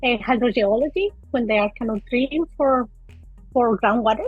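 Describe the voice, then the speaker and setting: A woman speaks in a high voice with a Spanish accent. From Colombia. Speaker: micropaleontologist. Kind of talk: interview. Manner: halting.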